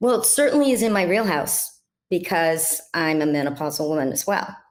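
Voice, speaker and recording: A woman speaks at a fairly quick pace in a fairly low pitch, her voice swinging very widely up and down. Room echo is audible. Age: 60s. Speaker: health coach, former dental hygienist. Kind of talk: interview.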